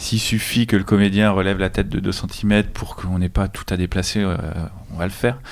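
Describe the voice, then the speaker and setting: A man speaks in a normal speaking voice, fairly low in pitch with fairly even intonation. The recording is very clean, with a silent background. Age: young. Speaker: film director. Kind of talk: casual chat.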